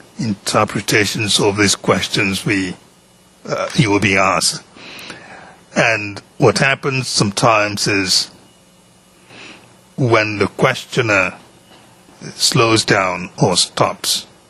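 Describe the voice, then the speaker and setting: A very slow man with a fairly low pitch and ordinary pitch variation, long, frequent pauses, and noticeable background noise. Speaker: judge. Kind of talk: courtroom instructions to a witness. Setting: courtroom. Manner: formal.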